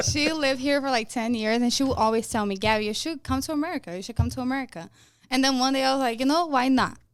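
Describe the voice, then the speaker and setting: The speaker has a strong Brazilian accent and talks at a very fast pace. Pitch variation is ordinary. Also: woman, high pitch for a woman. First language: Portuguese. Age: 20s. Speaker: car sales and finance worker. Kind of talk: casual chat.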